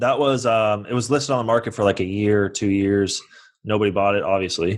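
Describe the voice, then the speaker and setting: An unremarkable speaking voice: a man with a General American accent and fairly low pitch talks at a fairly quick pace with very even loudness. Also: fairly even intonation, quiet background. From US West Coast (San Francisco). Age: 20s. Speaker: real estate investor. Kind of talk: podcast interview. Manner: casual.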